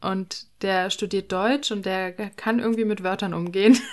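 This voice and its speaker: A woman at a medium pitch speaks at a moderate pace with fairly even intonation, with noticeable background noise behind her. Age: 20s. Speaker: podcaster. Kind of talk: casual chat.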